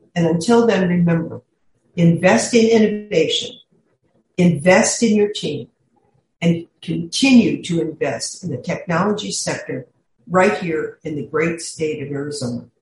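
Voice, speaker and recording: The woman's voice is somewhat breathy. She talks fairly slowly, with lively intonation. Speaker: podcast host, executive coach. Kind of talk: scripted intro and outro.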